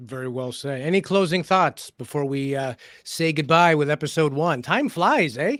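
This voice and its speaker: An ordinary speaking voice from a man with a Canadian accent, fairly high in pitch, moderate in pace, with ordinary pitch variation. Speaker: podcast co-host. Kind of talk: casual discussion.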